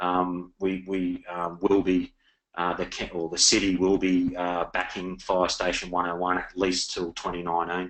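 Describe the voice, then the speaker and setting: A man's very deep, low voice in an Australian accent, moderate in pace and monotone, flat in intonation. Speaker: city council representative. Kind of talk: webinar Q&A. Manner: halting.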